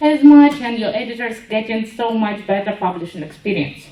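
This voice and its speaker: A woman with a Ukrainian accent and a fairly high pitch speaks amid audible room echo. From Ukraine. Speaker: web developer, conference speaker. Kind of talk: conference talk.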